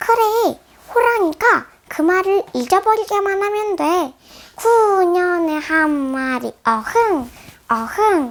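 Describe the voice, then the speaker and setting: A squeaky, put-on character voice at a very slow pace. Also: woman, extremely high pitch for a woman. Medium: read story.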